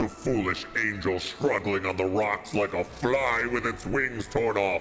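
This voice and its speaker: A man's put-on character voice over clear music in the background. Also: fairly low pitch for a man, fairly slow pace. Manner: menacing, sinister.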